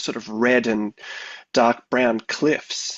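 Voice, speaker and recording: A man speaks with an Australian accent at a medium pitch. His pace is very slow. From Australia, Victoria. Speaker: composer. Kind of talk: radio interview. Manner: hesitant, many fillers.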